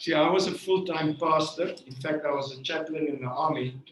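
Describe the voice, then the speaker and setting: Speaking at a fairly slow pace, a man with a non-native accent uses a fairly high pitch and ordinary pitch variation. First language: not English. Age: 70s. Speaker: network marketing leader, former pastor. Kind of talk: motivational speech. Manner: halting.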